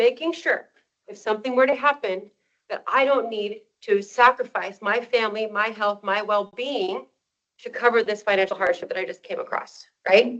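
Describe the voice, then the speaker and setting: An animated tone with big swings in loudness and ordinary pitch variation. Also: woman, fairly high pitch for a woman. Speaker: financial advisor. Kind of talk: workshop presentation. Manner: fast.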